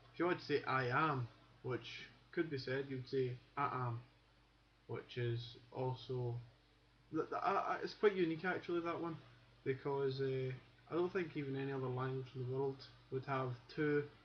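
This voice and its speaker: A man with a Glasgow accent and a medium pitch speaks with long, frequent pauses. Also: fairly even intonation, moderate pace. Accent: Glasgow Scottish. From Scotland, Glasgow. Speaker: accent teacher. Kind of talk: tutorial. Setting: webcam recording. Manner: halting.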